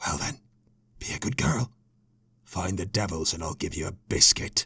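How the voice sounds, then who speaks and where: A man puts on a character voice that is raspy, gruff, and growling, pitched very deep and low, with lively intonation at a moderate pace. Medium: read story. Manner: gruff, threatening.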